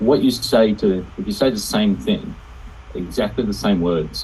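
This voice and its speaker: A man with an Australian accent speaks at a fairly slow pace. His delivery has long, frequent pauses. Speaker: participant in online group call. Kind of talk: casual discussion. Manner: halting, many fillers.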